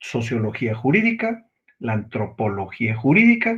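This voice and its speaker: A man talks at a fairly slow pace, somewhat breathy. His pitch swings very widely. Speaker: law lecturer. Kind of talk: lecture.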